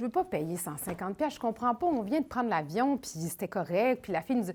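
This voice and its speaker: A woman with a Quebec accent talks at a fairly quick pace in a somewhat breathy voice, her fairly high pitch making very wide swings. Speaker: traveler. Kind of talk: interview testimony. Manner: casual.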